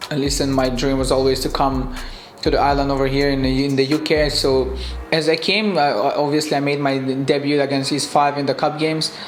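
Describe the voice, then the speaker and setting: At a fairly quick pace, a man speaks with fairly high pitch, monotone, flat intonation and very even loudness. Audible room echo and noticeable background noise fill the recording. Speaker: professional footballer. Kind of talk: interview. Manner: halting.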